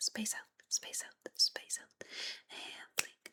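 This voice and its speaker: Someone is whispering. The pace is very slow. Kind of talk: ASMR follow-my-instructions, soft-spoken guidance to the viewer. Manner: whispery, soft-spoken.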